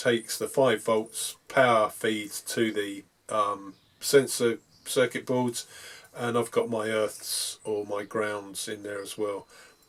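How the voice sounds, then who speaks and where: Speaking very slowly with a British accent, a man keeps his intonation fairly even while his loudness swings widely. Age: 60s. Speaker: model railway hobbyist. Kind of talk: hobby tutorial. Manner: hesitant, frequent ums.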